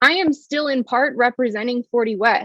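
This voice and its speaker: This woman's voice sits high in pitch. She talks fairly quickly. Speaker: arts district communications director teaching a class. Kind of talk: online class presentation. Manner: fast.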